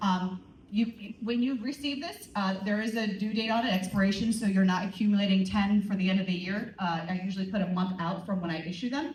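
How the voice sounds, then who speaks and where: A woman speaks fairly quickly at a medium pitch, with ordinary pitch variation. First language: not English. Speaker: teacher. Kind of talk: school assembly announcements. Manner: animated.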